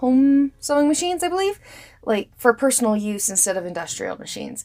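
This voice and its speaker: Over music in the background, a woman speaks at a fairly quick pace, her high pitch making very wide swings. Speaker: sewing channel host. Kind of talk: tutorial. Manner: casual, conversational.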